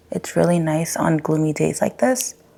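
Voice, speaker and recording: A woman's pitch varies in an ordinary way while noticeable noise sounds behind her. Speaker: lifestyle vlogger. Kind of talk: casual vlog update. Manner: casual, filler-heavy.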